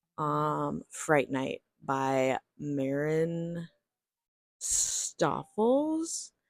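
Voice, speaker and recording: The recording is very clean, with a silent background. The voice is quiet but animated in tone. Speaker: book vlogger. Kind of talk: casual vlog. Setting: home at night.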